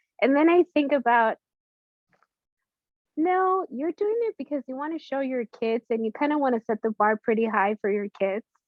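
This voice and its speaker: At a moderate pace, a woman with a high pitch and a Spanish accent speaks with lively intonation. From Latin America, immigrated to US at age five. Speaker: business founder and therapist. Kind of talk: interview.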